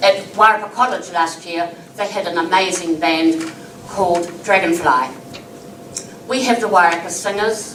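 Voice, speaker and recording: A woman with a New Zealand accent, fairly low pitch and ordinary pitch variation, at a moderate pace with long, frequent pauses, amid noticeable background noise and audible room echo. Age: 80s+. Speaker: member of the public making a submission. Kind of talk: public hearing submission. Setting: council hearing, live streamed.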